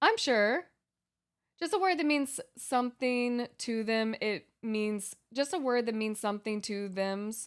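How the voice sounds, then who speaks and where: A woman with an ordinary speaking voice and a fairly high pitch talks at a fairly slow pace with lively intonation, in a very clean recording with a silent background. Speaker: game streamer. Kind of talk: casual chat. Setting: live stream.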